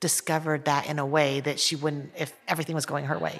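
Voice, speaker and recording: Speaking with an American accent at a very fast pace, a woman with a very deep, low pitch keeps a monotone, flat intonation in a very clean recording with a silent background. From Taiwan, then United States from age five. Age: 40s. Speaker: artist and author. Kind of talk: casual discussion.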